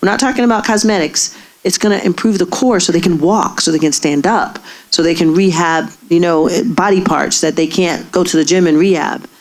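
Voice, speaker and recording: With very even loudness and ordinary pitch variation, a woman speaks over noticeable background noise. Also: fairly low pitch for a woman, fairly quick pace. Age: 60s. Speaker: gynecologist. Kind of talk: audience Q&A.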